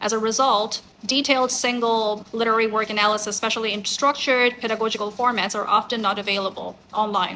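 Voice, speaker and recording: Spoken in a Bengali accent at a fairly quick pace, the delivery is monotone and flat. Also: woman. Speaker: academic researcher. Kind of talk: conference talk. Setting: conference. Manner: formal.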